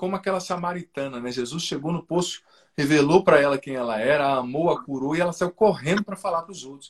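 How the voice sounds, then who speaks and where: A man's fairly high voice races along at a very fast pace, with ordinary pitch variation and big swings in loudness. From southern Brazil, Paraná. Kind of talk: testimony in a live interview. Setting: video live stream.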